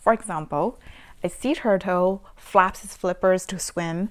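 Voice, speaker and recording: A woman with a Chinese accent speaks at a fairly slow pace in a warm, enthusiastic tone. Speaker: parenting vlogger. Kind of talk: casual book review.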